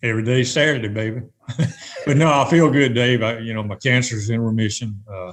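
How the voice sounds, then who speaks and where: A man's medium-pitched, plain, everyday voice at a fairly quick pace with ordinary pitch variation. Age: 60s. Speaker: retired tournament director. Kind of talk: podcast interview.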